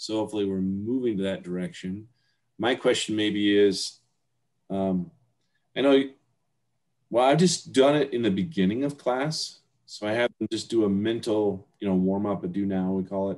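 A man's fairly low voice with ordinary pitch variation, long and frequent pauses, and a quiet background. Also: moderate pace. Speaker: teacher. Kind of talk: casual discussion. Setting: video call. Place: home room. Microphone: webcam.

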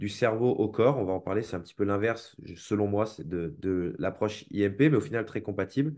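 Against a quiet background, a man with fairly low pitch speaks at a moderate pace in an unremarkable speaking voice, with ordinary pitch variation. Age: 20s. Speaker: movement coach and seminar teacher; movement coach, seminar teacher. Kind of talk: interview. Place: home room. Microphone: video call.

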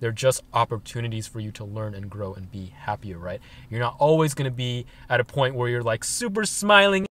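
Talking at a fairly quick pace, a man sounds dry, with no echo. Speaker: van-life vlogger. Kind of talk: casual vlog chat. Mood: calm, reflective. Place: car. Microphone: phone near.

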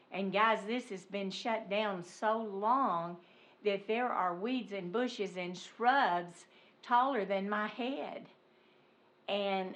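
A woman at a medium pitch with fairly even intonation and audible room echo. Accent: Arkansas. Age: 70s. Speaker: resident speaking at public comment. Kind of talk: public comment at council meeting. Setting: city council meeting.

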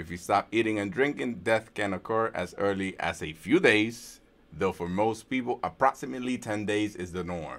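At a moderate pace and with hardly any pauses, a man with a normal speaking voice talks at a fairly low pitch with ordinary pitch variation on a very clean recording with a silent background. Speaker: prayer leader. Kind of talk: prayer. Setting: livestream.

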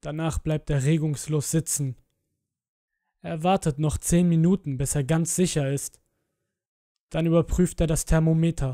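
The delivery is dramatic in tone and fairly slow, with long, frequent pauses on a very clean recording with a silent background. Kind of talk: scripted horror narration. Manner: slow, suspenseful, hushed, dramatic.

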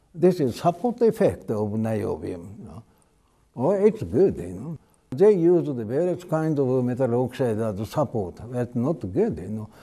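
At a fairly slow pace, a man with a dark, mellow tone makes very wide pitch swings and big swings in loudness against a quiet background. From Japan. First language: Japanese. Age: 80s+. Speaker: retired chemistry professor. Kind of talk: interview. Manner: halting, many fillers. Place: hall. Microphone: lapel.

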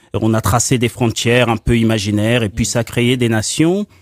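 A man talking at a moderate pace over a quiet background. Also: dry sound with no echo. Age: 40s. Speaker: political activist, concept promoter. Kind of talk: radio debate. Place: studio.

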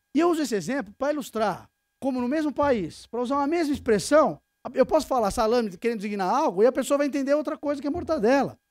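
In a São Paulo accent, a man speaks at a very fast pace with an extremely high pitch and lively intonation, in a dry sound with no echo and a quiet background. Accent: São Paulo Brazilian Portuguese. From Brazil, São Paulo. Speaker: tax lawyer, lecturer. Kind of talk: conference lecture. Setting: stage with audience. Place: meeting room.

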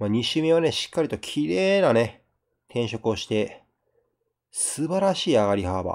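A man with a Kansai accent and very wide pitch swings. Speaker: game streamer. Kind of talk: let's play commentary. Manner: casual, chatty.

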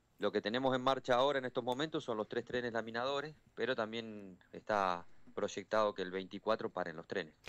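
At a fairly quick pace, a man speaks, his pitch varying in an ordinary way. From Argentina, Villa Constitución (Santa Fe); Santa Fe, Argentina. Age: 40s. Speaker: trade union leader, steelworker. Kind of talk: phone interview on radio. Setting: phone call. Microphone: phone line.

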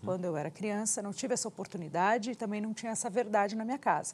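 A woman's somewhat breathy voice. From Brazil. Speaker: TV interviewer. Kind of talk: interview. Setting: studio. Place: studio. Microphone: lapel.

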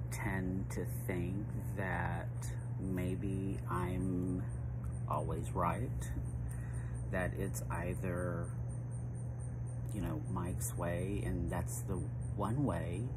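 Over loud background noise, a man talks at a very slow pace with long, frequent pauses. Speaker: personal vlogger. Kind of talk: casual reflective vlog monologue. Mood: reflective, personal, hesitant. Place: garden. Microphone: phone near.

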